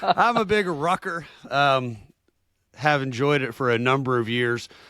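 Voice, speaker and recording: A man with a Southern US accent speaks at a moderate pace in a medium pitch with a bright, sharp tone, captured in a dry, close sound with no echo on a very clean recording with a silent background. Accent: Southern American. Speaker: podcast co-host. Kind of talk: interview. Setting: podcast.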